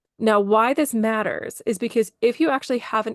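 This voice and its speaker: A woman talks at a fairly quick pace with a fairly high pitch. The background is quiet, and the sound is dry and close with no echo. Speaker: burnout coach, former ICU nurse. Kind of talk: interview, explanatory. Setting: podcast interview. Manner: fast.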